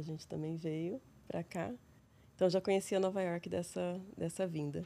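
A woman's calm, dark, mellow voice in an interior São Paulo accent. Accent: interior São Paulo Brazilian Portuguese. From interior of São Paulo state, Brazil. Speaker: psychologist and researcher. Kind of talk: casual interview conversation. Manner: calm, tranquil.

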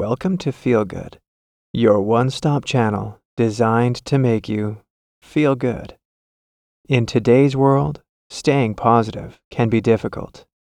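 Speaking at a very slow pace, a man uses a calm, soothing tone at a medium pitch with ordinary pitch variation, in a very clean recording with a silent background. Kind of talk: guided meditation. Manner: slow, calm, soothing.

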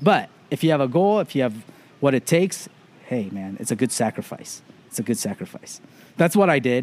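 Moving at a fairly quick pace, a man makes very wide pitch swings and leaves long, frequent pauses. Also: medium pitch for a man. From Los Angeles suburbs, California. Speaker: ramen chef and consultant. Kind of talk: casual interview. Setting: outdoors on a beach.

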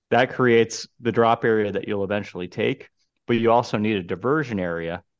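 This is a plain, everyday voice with ordinary pitch variation. The delivery moves at a fairly quick pace. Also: man. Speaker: golf podcast co-host. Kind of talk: casual chat.

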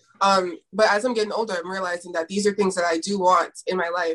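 A woman with an ordinary speaking voice and medium pitch talks at a fairly quick pace with fairly even intonation. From Toronto, Canada. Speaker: YouTuber and actress. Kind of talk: casual chat.

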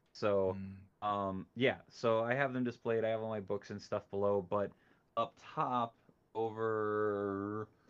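Delivery comes at a fairly slow pace. The intonation stays monotone and flat. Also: man, fairly low pitch for a man. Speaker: toy collector and streamer. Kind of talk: casual chat. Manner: halting.

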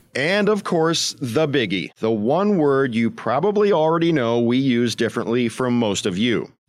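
In an American accent, a man speaks at a fairly slow pace with lively intonation, on a very clean recording with a silent background. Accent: Midwestern, smoothed by broadcast training. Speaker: podcast host. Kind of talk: scripted narration with interviews.

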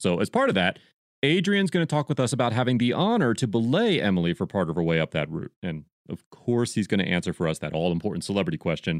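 A man at a very fast pace with very wide pitch swings, in a dry, close sound with no echo over a quiet background. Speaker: podcast host. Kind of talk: podcast intro and interview.

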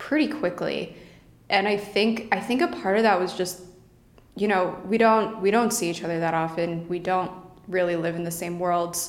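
Speaking in a normal speaking voice, a woman keeps a medium pitch, ordinary pitch variation, and a moderate pace. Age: 20s. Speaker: cancer survivor. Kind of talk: casual chat.

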